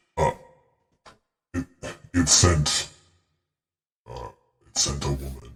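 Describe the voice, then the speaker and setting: Using a put-on character voice, a man speaks at a very deep, low pitch and a fairly slow pace with long, frequent pauses. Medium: actual play. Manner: terse, eerie.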